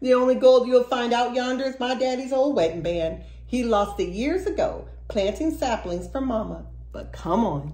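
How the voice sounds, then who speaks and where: A woman's gruff, put-on character voice at a moderate pace, over noticeable background noise. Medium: read story. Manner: gruff, brusque.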